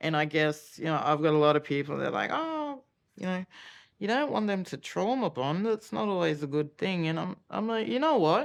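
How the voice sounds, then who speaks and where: A woman's fairly low voice with an Australian accent, very wide pitch swings and a moderate pace against a quiet background. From Australia, Cairns, Queensland. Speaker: mother of an abuse victim. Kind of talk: documentary interview testimony.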